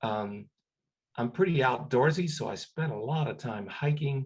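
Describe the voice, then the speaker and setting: Somewhat breathy and of medium pitch, a man talks at a fairly slow pace with lively intonation. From Cuba. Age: 60s. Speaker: retired scientist. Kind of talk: career advice talk. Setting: webinar video call. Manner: halting, many fillers and repetitions.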